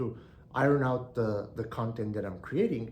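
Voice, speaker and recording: A man with a non-native accent and a medium pitch talks at a moderate pace, with audible room echo. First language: not English. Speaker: online business educator. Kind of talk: solo video monologue. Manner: halting, frequent repetitions and fillers.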